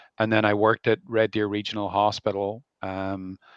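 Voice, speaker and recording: A man's fairly low, monotone voice with flat intonation and an Irish accent, dry and close with no echo. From Ireland. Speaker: family doctor. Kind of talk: live interview. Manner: hesitant, many fillers.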